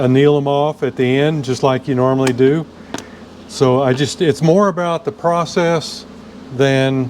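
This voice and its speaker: There is noticeable background noise as a man talks at a fairly slow pace. His pitch is fairly high. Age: 70s. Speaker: motorcycle restorer and machinist. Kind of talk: workshop tutorial. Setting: workshop. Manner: casual, with frequent fillers.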